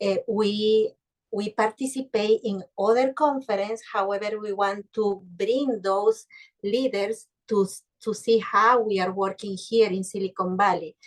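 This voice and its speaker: The speaker has a non-native accent and fairly even intonation at a fairly slow pace. The sound is dry and close, with no echo. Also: woman, fairly high pitch for a woman. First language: Spanish. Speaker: business leader. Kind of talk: casual interview chat. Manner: halting.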